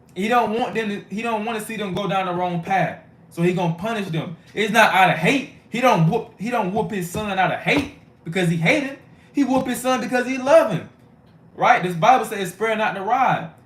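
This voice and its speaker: A man with a high-pitched voice and ordinary pitch variation is heard with audible room echo. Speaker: street preacher / bible teacher. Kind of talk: sermon. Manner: fast; casual, conversational.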